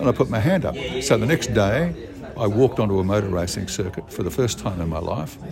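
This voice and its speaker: Very fast speech in an Australian accent over noticeable background noise. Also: man, lively intonation. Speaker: retired sports commentator. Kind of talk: interview.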